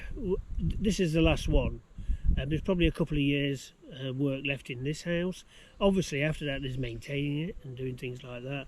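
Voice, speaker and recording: The speaker has an English accent and a fairly quick pace. Loudness swings widely, while pitch variation is ordinary. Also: man, fairly high pitch for a man. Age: 60s. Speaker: home renovation vlogger. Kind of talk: casual chat. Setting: outdoors. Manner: halting.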